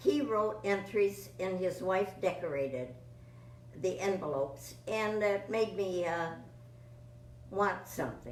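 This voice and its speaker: A woman's medium-pitched voice with lively intonation, at a fairly slow pace with long, frequent pauses, amid audible room echo and noticeable background noise. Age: 90s. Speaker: veteran sweepstakes entrant. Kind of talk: interview. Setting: sweepstakes convention.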